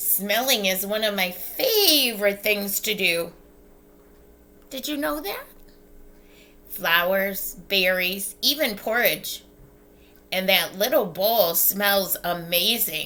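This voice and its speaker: A female-sounding voice uses a put-on character voice at medium pitch. The pace is very slow, with long, frequent pauses. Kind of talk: bedtime story. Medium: read story. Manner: bubbly, chatty.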